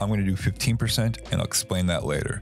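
Clear music plays behind a man with a fairly low pitch and ordinary pitch variation. The sound is dry, with no echo. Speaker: cocktail host. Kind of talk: tutorial. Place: bar. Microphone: studio mic.

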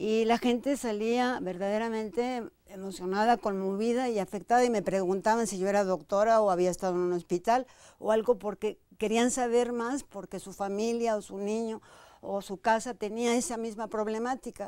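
Against a quiet background, a woman talks at a moderate pace in a fairly high pitch, her dark, mellow tone carrying fairly even intonation. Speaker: dancer and choreographer, dance company director; guest. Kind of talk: interview conversation. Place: studio. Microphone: lapel.

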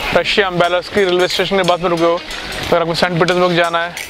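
A man's voice at a moderate pace with music in the background, in a dry sound with no echo. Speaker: travel vlogger. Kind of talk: casual vlog chat. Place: street. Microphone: phone near.

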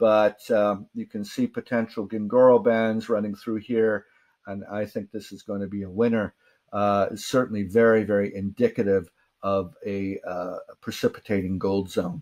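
Against a quiet background, a man speaks at a moderate pace with a fairly low pitch. His intonation is monotone and flat. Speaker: presenter. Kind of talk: lecture. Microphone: webcam.

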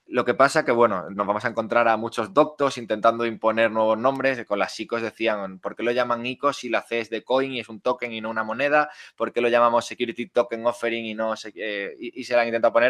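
Over a quiet background, a man speaks at a fairly quick pace with hardly any pauses, a medium pitch, fairly even intonation, and a dry, close sound with no echo. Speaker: crypto lawyer and startup co-founder. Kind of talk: interview. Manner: fast.

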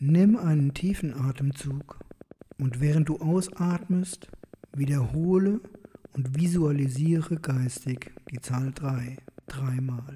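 A man's fairly high, calm and soothing voice at a very slow pace, long, frequent pauses, ordinary pitch variation, and noticeable background noise. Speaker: meditation guide. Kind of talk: guided meditation. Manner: slow, calm, soothing.

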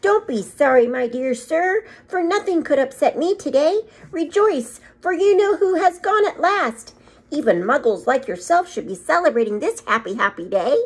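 This squeaky, high-pitched put-on character voice moves at a moderate pace with very wide pitch swings. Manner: joyful, exuberant.

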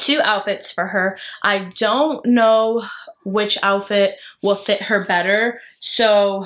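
The background is quiet as a woman talks. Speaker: expecting mother vlogger. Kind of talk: casual vlog chat. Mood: relaxed, chatty. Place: home room. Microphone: phone near.

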